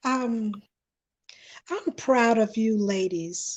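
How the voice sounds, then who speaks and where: A woman's fairly high voice with lively intonation, against a quiet background. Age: 60s. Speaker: panelist. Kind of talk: panel discussion. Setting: livestream.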